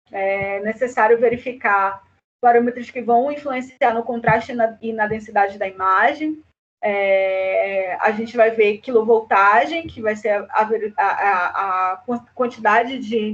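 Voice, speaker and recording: With an ordinary speaking voice, a woman talks fairly slowly at a fairly high pitch, her pitch varying in an ordinary way. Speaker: university lecturer. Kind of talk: online lecture.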